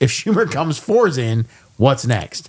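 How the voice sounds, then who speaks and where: The voice is loud, with very wide pitch swings. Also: man. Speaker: podcast co-host. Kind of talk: casual chat. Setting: studio.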